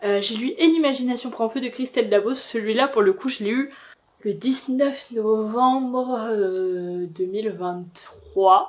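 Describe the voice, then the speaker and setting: A woman uses an unremarkable speaking voice at a fairly high pitch. Her pitch varies in an ordinary way. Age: 20s. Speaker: booktuber. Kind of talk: casual talk to camera.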